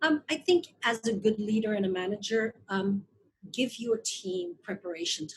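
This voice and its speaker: A woman speaks at a moderate pace and medium pitch, her somewhat breathy voice carrying lively intonation and big swings in loudness. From Belgium (Flanders). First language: Flemish (Dutch). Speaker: investor and marketing advisor. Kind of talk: interview.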